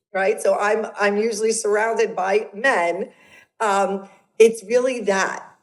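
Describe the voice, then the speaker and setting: A woman with a strong New York accent, fairly high in pitch and monotone, flat in intonation. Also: fairly slow pace. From Brooklyn, New York. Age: 50s. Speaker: transformational coach. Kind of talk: podcast interview. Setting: video call.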